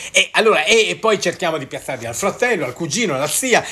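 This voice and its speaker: A man's voice over noticeable background noise. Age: 60s. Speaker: network marketer and podcaster. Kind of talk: solo podcast monologue. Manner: hesitant, stumbling over words.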